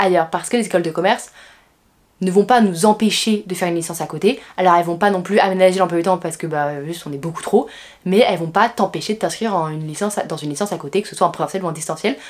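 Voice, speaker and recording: A woman talks at a very fast pace with big swings in loudness. Her pitch is medium, with ordinary variation. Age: 20s. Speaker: business school student. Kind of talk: vlog. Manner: casual, frequent hesitations.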